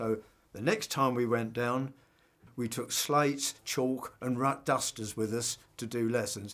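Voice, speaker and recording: With a southern English accent and a medium pitch, a man talks at a fairly slow pace with ordinary pitch variation in a very clean recording with a silent background. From southern England. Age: 80s+. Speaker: war veteran. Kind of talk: testimony.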